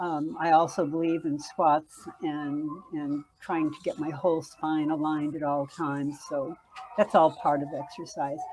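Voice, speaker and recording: A woman with a very deep, low pitch talks at a fairly slow pace with fairly even intonation over noticeable background noise. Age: 70s. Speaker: entrepreneur and author. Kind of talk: interview.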